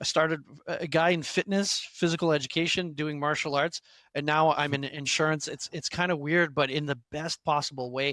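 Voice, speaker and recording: Recorded very cleanly over a silent background, a man with a bright, sharp tone speaks at a moderate pace, the sound dry and close with no echo. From Quebec. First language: French. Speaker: instructional designer, former fitness instructor. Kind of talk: interview. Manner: halting, many fillers and restarts.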